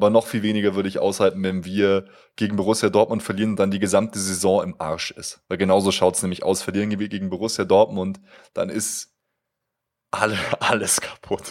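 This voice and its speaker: Speaking at a fairly quick pace, a man keeps a monotone, flat intonation. The recording is very clean, with a silent background. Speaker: fan podcast co-host. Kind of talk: casual chat. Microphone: new high-end microphone with pop filter.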